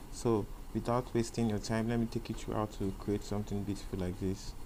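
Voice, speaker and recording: With a Nigerian accent, a man speaks at a fairly quick pace in a dark, mellow tone, his fairly low pitch held to a monotone, flat intonation. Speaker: programming tutor. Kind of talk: tutorial. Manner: halting, many fillers and self-corrections.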